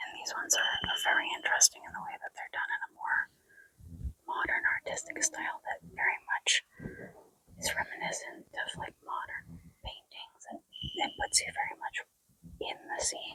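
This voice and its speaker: A woman whispers at a moderate pace with long, frequent pauses and big swings in loudness, in a dry, close sound with no echo. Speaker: vlogger. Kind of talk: travel vlog. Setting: basilica. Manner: whispering.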